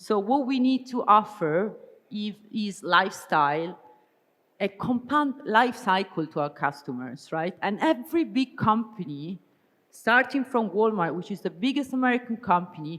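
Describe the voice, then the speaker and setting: In an Italian accent, a woman speaks with a fairly high pitch that swings very widely. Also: moderate pace. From Italy. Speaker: business strategy consultant, keynote speaker. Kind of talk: conference keynote talk.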